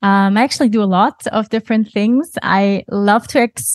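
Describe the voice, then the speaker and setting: At a moderate pace, a woman with a German accent talks at medium pitch with ordinary pitch variation, in a dry, close sound with no echo against a quiet background. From Germany. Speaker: yoga teacher and studio owner. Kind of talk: casual interview.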